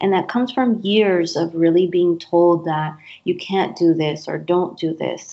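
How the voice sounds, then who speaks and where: A woman with an East Coast accent talks fairly slowly, her intonation fairly even. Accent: American (East Coast). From US East Coast. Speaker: career coach. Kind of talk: interview.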